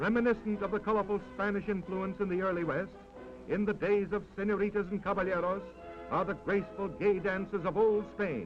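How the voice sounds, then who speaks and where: Music plays behind a man speaking at a fairly quick pace. His high pitch stays monotone, with flat intonation. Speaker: newsreel narrator. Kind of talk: vintage newsreel narration.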